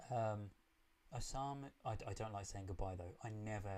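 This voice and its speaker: A man's fairly low voice with a British accent at a moderate pace. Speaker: film reaction youtuber. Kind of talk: live stream chat.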